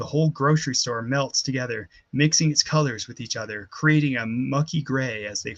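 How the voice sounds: The reading voice is natural and shows ordinary pitch variation.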